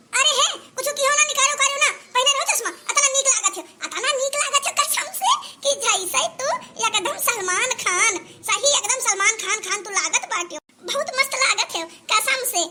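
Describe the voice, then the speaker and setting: A woman's cartoonish character voice at an extremely high pitch and a moderate pace. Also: lively intonation. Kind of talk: comic village quarrel. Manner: scolding, sarcastic.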